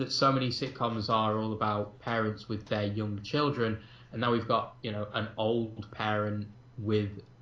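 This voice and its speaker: Speaking fairly slowly with a slight Manchester accent, a man has a fairly low pitch and a bright, sharp tone, with audible room echo. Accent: slight Mancunian. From northern England, Manchester. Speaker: film podcast co-host. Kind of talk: casual chat. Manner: hesitant, many fillers.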